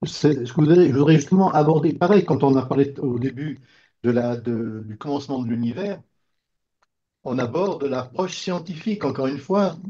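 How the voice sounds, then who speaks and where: A moderate pace carries this somewhat breathy voice. Its tone is dark and mellow. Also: man, fairly high pitch for a man, ordinary pitch variation. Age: 70s. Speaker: participant in discussion group. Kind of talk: group discussion. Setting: video call. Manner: halting, stammering restarts.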